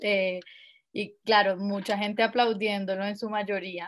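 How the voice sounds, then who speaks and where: A woman with a fairly high pitch and monotone, flat intonation at a fairly slow pace. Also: very clean recording, silent background. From Colombia, Villavicencio. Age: 20s. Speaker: lawyer and feminist activist. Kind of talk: casual interview chat. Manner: hesitant, repeats words.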